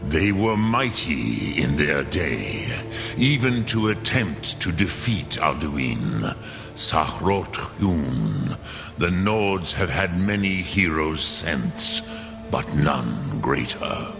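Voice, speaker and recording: Over loud background music, a man puts on a character voice with a very deep, low pitch and a very slow pace. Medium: machinima. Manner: slow, measured, archaic.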